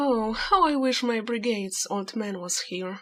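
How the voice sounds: The voice reads in a natural manner.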